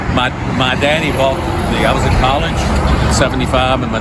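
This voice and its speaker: The recording carries noticeable background noise and audible room echo. A man talks at a moderate pace. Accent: Virginia. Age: 60s. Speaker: classic car owner. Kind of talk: casual chat.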